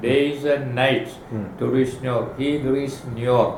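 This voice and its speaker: There is noticeable background noise. Through it comes a man's fairly high voice. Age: 80s+. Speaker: oncologist. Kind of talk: interview answer.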